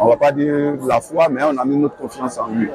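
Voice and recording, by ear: Over faint background noise and faint crowd noise, a man speaks at a moderate pace with a slightly mellow tone, medium pitch and fairly even intonation.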